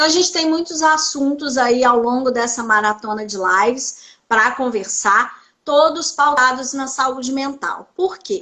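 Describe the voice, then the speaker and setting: Speaking with a Minas Gerais accent, a woman uses a high pitch and lively intonation at a fairly slow pace. Her raised, projected voice has a bright, sharp tone. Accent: Minas Gerais (mineiro). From Brazil, Belo Horizonte (Minas Gerais). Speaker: psychoanalyst. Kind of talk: interview on live stream.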